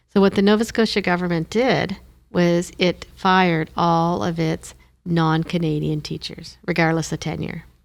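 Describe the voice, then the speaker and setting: Her recording is very clean, with a silent background. The woman speaks at a moderate pace with a fairly low pitch and fairly even intonation. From Moncton, New Brunswick, Canada. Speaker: former government commissioner. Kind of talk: interview.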